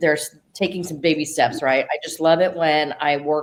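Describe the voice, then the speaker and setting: Speaking with fairly even intonation, a woman has a very deep, low voice. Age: 60s. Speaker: youth mentor. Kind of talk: interview.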